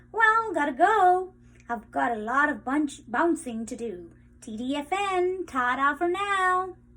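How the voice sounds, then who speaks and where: The speaker uses a put-on character voice pitched high. The pace is fairly slow. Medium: read story. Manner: exuberant, breezy.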